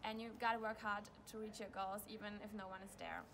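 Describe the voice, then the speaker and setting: A woman with a fairly high pitch speaks in a German accent over light background noise. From Germany. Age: 20s. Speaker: speed skater. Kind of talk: sponsor video testimonial. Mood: grateful, calm. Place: stadium. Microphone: phone near.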